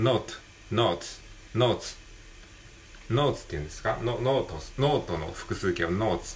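Pausing long and often, a man of medium pitch speaks at a moderate pace, somewhat breathy, with lively intonation and big swings in loudness. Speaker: podcaster. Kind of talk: casual solo talk, English practice. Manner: halting, many fillers.

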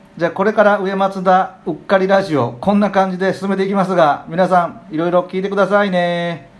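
Hardly pausing at all, a man speaks at a fairly quick pace with a high pitch. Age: 40s. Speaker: podcast co-host. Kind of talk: casual chat. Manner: animated.

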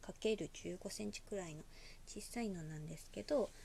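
A woman speaks in a relaxed tone. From Osaka, Japan. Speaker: podcaster. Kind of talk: casual solo talk.

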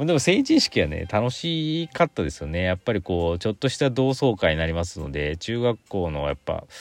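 A man talks at a fairly quick pace with hardly any pauses, his fairly low pitch swinging very widely in a dry, close sound with no echo. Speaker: podcaster. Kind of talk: casual solo talk. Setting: in a car.

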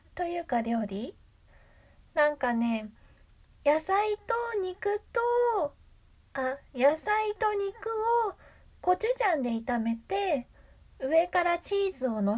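A woman at a very slow pace in a calm, relaxed tone, with very wide pitch swings, long and frequent pauses and noticeable background noise. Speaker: voice actor and solo radio host. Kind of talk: casual solo talk.

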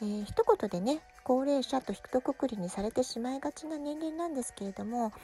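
A high-pitched woman speaks at a fairly quick pace, the sound dry and close with no echo, though noticeable background noise is present. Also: lively intonation. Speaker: parenting podcaster. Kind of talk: casual monologue podcast.

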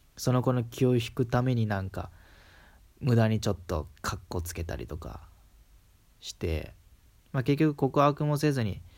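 In a strong Kansai accent, a man of medium pitch speaks at a moderate pace with lively intonation and long, frequent pauses, on a very clean recording with a silent background. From Kansai, Japan. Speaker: solo podcaster. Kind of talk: casual monologue. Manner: hesitant, many fillers.

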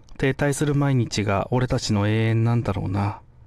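Medium in pitch, a man talks at a fairly slow pace in an ordinary speaking voice with ordinary pitch variation. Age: 30s. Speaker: comedian. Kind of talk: scripted monologue. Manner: casual.

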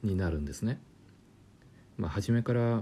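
A dark, mellow tone and a fairly low pitch mark this man's voice. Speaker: German language lecturer. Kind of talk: casual educational talk.

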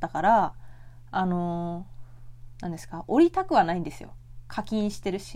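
In a very clean recording with a silent background, a woman speaks in a calm tone at a moderate pace. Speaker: podcast host; office worker. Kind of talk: solo casual talk. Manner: soft-spoken.

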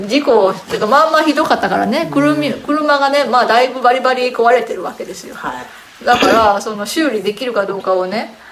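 A woman with a fairly high voice speaks with lively intonation. Audible room echo and noticeable background noise are present. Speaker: podcast host. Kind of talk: casual chat. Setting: home.

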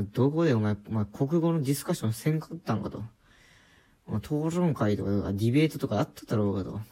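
A man talks at a fairly quick pace with lively intonation and a dark, mellow tone. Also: medium pitch for a man. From rural Japan. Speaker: podcaster. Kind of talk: casual monologue. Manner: hesitant, many fillers.

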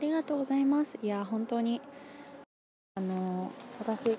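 A woman's fairly high voice carries lively intonation. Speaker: podcast host. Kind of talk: solo talk. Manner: fast.

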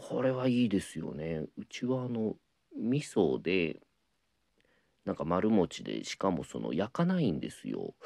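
The voice moves at a fairly slow pace, and the sound is dry and close with no echo. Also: man. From Ehime, Shikoku, Japan. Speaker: apprentice rakugo storyteller. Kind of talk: casual solo talk answering listener mail. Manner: many filler words (えー, あの).

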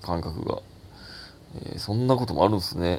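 A man speaks with ordinary pitch variation. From Takatsuki, Osaka, Japan. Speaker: comedian podcaster. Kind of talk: casual solo talk.

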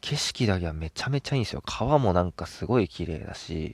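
A man with a very deep, low pitch and vocal fry talks at a fairly quick pace with very wide pitch swings, captured dry and close with no echo on a very clean recording with a silent background. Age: 20s. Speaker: podcast host. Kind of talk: casual solo talk. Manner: animated, frequent laughter.

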